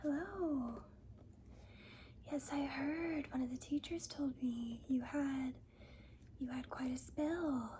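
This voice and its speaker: In a soft-spoken voice with a gentle tone, the speaker goes at a very slow pace with long, frequent pauses. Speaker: school nurse (role play). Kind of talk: ASMR school nurse role play, soft-spoken. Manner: soft-spoken, gentle.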